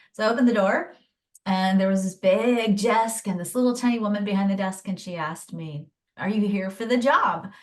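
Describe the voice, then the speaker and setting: A woman's medium-pitched voice, an ordinary speaking voice with ordinary pitch variation and a fairly quick pace. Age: 50s. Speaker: human design teacher and coach. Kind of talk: podcast interview.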